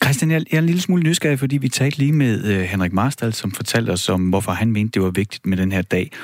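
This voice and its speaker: At a very fast pace with hardly any pauses, the voice makes very wide pitch swings while keeping very even loudness, on a very clean recording with a silent background. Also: man, medium pitch for a man. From Denmark, Horsens (East Jutland). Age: 40s. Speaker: radio co-host. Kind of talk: live radio talk. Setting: studio.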